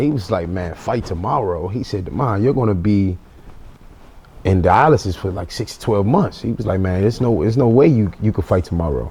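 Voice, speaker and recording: Lively intonation marks this man's fairly quick delivery in a normal speaking voice. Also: fairly low pitch for a man. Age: 20s. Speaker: boxer. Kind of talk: interview.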